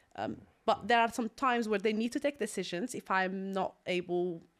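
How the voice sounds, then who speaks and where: A woman speaks in an Algerian accent. Her pace is moderate and her pitch varies in an ordinary way. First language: Algerian Arabic. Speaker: property investor. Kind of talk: podcast interview.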